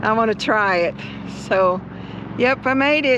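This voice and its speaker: Noticeable background noise behind a speaking woman. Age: 60s. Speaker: RV travel vlogger. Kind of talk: casual chat.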